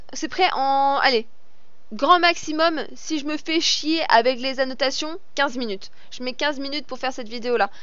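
Her intonation lively and her pitch high, a woman speaks at a fairly slow pace in a dry sound with no echo. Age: 30s. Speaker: gaming YouTuber and streamer; gaming streamer. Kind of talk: gameplay commentary with viewer Q&A. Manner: animated.

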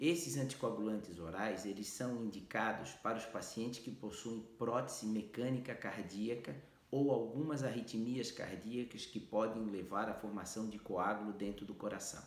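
With audible room echo, a man talks at a moderate pace with ordinary pitch variation and hardly any pauses. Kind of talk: health explainer to camera.

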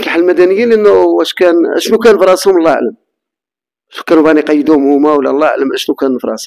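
Over a quiet background, a man with a fairly high voice talks at a very fast pace with lively intonation. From Morocco. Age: 50s. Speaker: interviewee telling personal story; interviewee. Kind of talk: testimony. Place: home room. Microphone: handheld.

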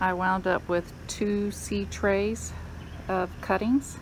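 There is light background noise. A woman with a fairly low pitch speaks with fairly even intonation. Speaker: home gardener. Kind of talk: casual gardening talk to camera. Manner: slow, choppy. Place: garden. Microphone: phone near.

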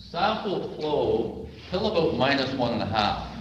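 Light background noise and audible room echo accompany a man talking. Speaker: maple syrup producer. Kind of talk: conference presentation. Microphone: webcam.

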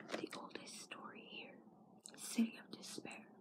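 Moderate-paced whispering from a woman. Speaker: ASMR vlogger. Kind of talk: ASMR comic reading. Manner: whispered. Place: home room. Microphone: phone near. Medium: read story.

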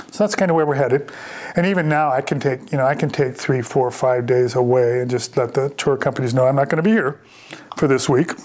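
A man with an American accent speaks very fast at a fairly high pitch, his pitch varying in an ordinary way and his loudness very even. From US Midwest, Chicago suburbs; Illinois. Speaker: vineyard owner and winemaker. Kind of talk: reflective oral-history life story, looking back on the vineyard years. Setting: on location at the vineyard. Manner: warm and contented. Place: home room.

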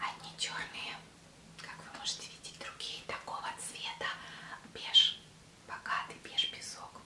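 A soft-spoken woman whispers at a very slow pace, with long, frequent pauses and big swings in loudness. Noticeable background noise runs underneath. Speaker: fashion vlogger. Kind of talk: product show vlog chat. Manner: soft ASMR whisper. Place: home room. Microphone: webcam.

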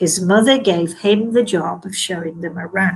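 A woman at a fairly slow pace, with a slightly husky edge and fairly even intonation

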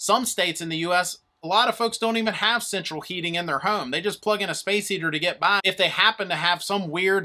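A man uses a raised, projected voice at a very fast pace with hardly any pauses. His pitch varies in an ordinary way, and the background is quiet. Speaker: presenter. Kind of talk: tutorial. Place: studio.

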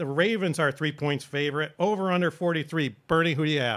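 A man with a normal speaking voice, fairly high in pitch, ordinary pitch variation, against a quiet background. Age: 60s. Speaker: show producer and moderator. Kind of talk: casual sports chat, segment hosting. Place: studio. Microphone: studio mic.

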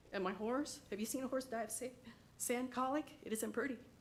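Vocal fry runs through this woman's fairly high voice. She talks at a fairly quick pace. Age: 60s. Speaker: resident giving public comment. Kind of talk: public comment at county meeting.

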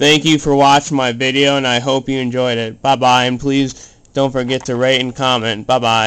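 The intonation is monotone and flat at a moderate pace. There are hardly any pauses. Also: man. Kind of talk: tutorial. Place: home room. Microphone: phone near.

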